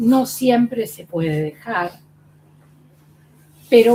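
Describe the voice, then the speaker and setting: A woman's fairly high-pitched voice, very slow in pace, with lively intonation. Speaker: former patient. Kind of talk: testimony.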